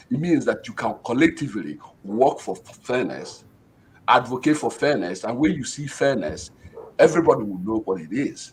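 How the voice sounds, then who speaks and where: A man with a Nigerian accent speaks at a medium pitch with vocal fry. His pitch swings very widely and his loudness varies a lot. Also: moderate pace. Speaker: professor. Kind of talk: panel discussion.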